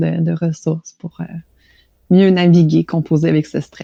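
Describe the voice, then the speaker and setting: A woman's fairly low, dark and mellow voice with a Quebec accent, in a dry, close sound with no echo. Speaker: stress management practitioner, hypnosis guide. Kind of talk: interview, explanatory.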